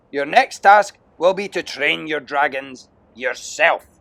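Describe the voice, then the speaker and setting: Using a gruff, put-on character voice pitched high for a man, he speaks at a fairly slow pace. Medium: read story. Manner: loud, scornful, gruff.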